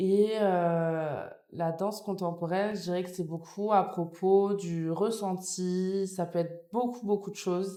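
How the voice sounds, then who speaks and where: In a room with audible echo, a woman with a dark, mellow tone speaks at a very slow pace in a monotone, flat intonation, with hardly any pauses. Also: medium pitch for a woman. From France (born in Nice, later Paris). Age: 20s. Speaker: dance student. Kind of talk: podcast interview. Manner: hesitant, many fillers.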